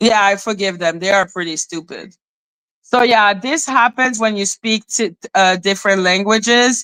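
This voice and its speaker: In a French accent, a woman speaks at a fairly slow pace with a bright, sharp tone and fairly high pitch, in a dry, close sound with no echo on a very clean recording with a silent background. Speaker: YouTube live streamer, commentator. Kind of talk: casual livestream chat. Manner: animated.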